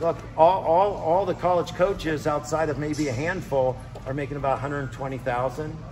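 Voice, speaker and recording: With noticeable background noise behind him, a man talks at a moderate pace in a fairly high pitch, his pitch variation ordinary. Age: 50s. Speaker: wrestling coach. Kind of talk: advice talk to young wrestlers.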